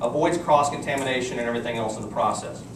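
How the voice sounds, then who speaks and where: Someone speaks at a very fast pace with a Texan accent. Audible room echo and noticeable background noise fill the recording. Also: man. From Texas. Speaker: company executive giving product presentation. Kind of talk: sales presentation to live audience. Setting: room with live audience. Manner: animated.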